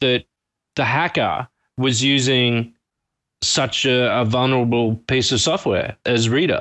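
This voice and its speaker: With an Australian accent, a man speaks at a fairly slow pace and very even loudness, his intonation fairly even and his pauses long and frequent. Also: medium pitch for a man. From Brisbane, Australia. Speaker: panelist. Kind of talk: casual chat. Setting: Skype call from distance.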